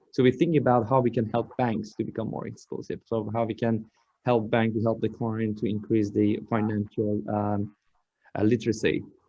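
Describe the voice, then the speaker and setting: This man has a Persian accent and a medium pitch. He keeps a moderate pace with fairly even intonation. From Iran. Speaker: tech startup founder. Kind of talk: online panel presentation.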